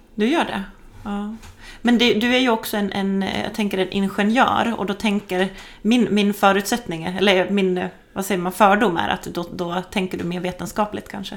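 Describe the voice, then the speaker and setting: A woman talks in a mid-range voice at an unhurried, moderate speed, her intonation fairly flat, with clear noise behind her. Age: 40s. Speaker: podcast host. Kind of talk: interview. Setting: at a kitchen table in the guest's home.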